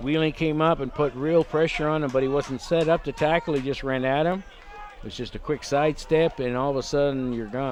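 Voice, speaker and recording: Noticeable background noise runs under the recording. A man with a fairly high pitch talks at a fairly quick pace, with ordinary pitch variation. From Canada. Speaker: rugby color commentator. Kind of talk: live sports commentary.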